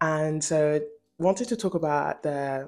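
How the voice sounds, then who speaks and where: A woman speaks at a very slow pace, her pitch fairly low. Her pitch varies in an ordinary way. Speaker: commentary youtuber. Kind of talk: casual commentary vlog. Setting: home, new apartment. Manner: quieter than usual.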